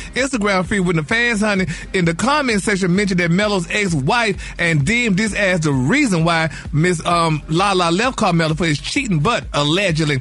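A man with a high pitch speaks at a fairly quick pace in an animated tone, with lively intonation and hardly any pauses. Noticeable background noise runs behind him. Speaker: gossip segment host. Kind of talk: radio gossip segment, chatty and campy. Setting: studio. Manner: animated, sassy, campy with pet words like honey.

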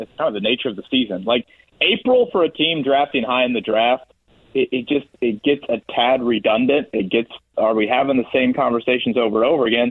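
An ordinary speaking voice from a man at a fairly quick pace. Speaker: sports radio personality. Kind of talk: casual chat.

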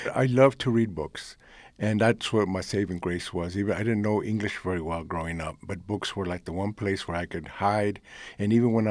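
Speaking with a Spanish accent, a man uses a fairly low pitch and fairly even intonation. His pace is moderate, and the recording is very clean with a silent background. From United States. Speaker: poet. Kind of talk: interview.

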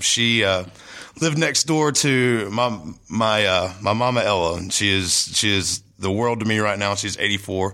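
A bright, sharp voice speaks at a fairly slow pace with a Southern US accent and ordinary pitch variation. The recording is very clean, with a silent background. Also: man. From North Carolina. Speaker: musician. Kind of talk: casual chat.

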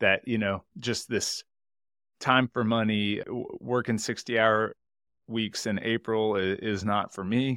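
A man with an American accent, medium pitch, and a bright, sharp tone, speaking in a flat monotone at a fairly slow pace, in a dry, close, echo-free, very clean recording with a silent background. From Texas, Houston. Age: 30s. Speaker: accountant and entrepreneur. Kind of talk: interview conversation.

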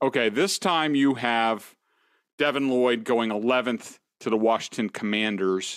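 A man with an unremarkable speaking voice, medium pitch, ordinary pitch variation, very even loudness and a fairly slow pace. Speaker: podcast host. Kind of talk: casual chat.

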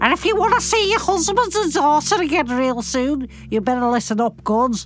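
A growling, put-on character voice in a Liverpool accent moves at a moderate pace. Music is clearly heard in the background. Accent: Scouse. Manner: aggressive, growling, threatening.

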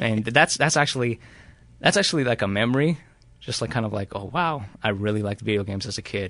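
The man's words pour out very fast. Pitch shifts only in an ordinary way. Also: medium pitch for a man, quiet background. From Mexico. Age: 20s. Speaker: podcast listener guest, hotel maintenance engineer. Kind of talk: casual interview. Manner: halting, many fillers.

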